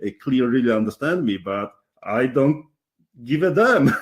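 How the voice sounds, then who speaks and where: A man with a Polish accent speaks with vocal fry and very wide pitch swings. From Poland. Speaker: interviewer, real estate investor. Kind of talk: interview. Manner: halting.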